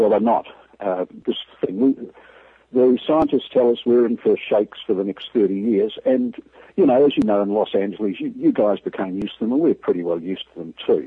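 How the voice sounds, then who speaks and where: This man talks at a fairly quick pace. He has a New Zealand accent. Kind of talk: phone interview, critical. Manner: blunt, frustrated.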